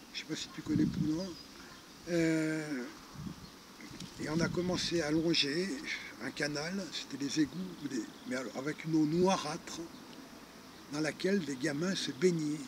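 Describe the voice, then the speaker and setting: A man speaks with fairly high pitch and ordinary pitch variation. His long, frequent pauses come over noticeable background noise. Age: 60s. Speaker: retired charity founder. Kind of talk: interview storytelling. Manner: hesitant, many fillers.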